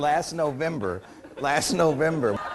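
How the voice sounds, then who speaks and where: Over noticeable background noise, a man speaks in an energetic, upbeat tone. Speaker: professional business / motivational keynote speaker. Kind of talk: anecdote told to a live audience. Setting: live audience room, conference. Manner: energetic, upbeat, humorous storytelling.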